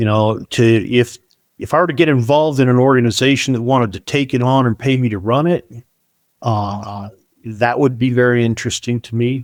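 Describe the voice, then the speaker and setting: Dry and close with no echo, a man talks in a normal speaking voice. His pitch is medium and his pace fairly quick. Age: 60s. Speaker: software business founder. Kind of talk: podcast interview about business valuation.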